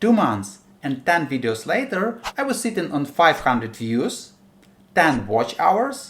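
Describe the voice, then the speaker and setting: With a strong Ukrainian accent, a man speaks fairly slowly in a fairly high voice, his pitch swinging very widely, with vocal fry. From Ukraine. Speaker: indie game developer and YouTuber. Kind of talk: scripted narration.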